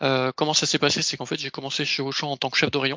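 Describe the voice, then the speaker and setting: An ordinary speaking voice from a man, fairly high in pitch, with fairly even intonation. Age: 30s. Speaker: ERP consultant. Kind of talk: career presentation. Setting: video call.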